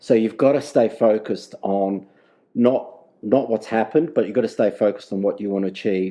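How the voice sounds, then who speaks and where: A man with an Australian accent talks at a fairly quick pace in a dark, mellow tone of medium pitch with ordinary pitch variation. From South Australia, Adelaide. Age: 60s. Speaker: data governance manager. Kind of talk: podcast interview. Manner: halting, repetitive.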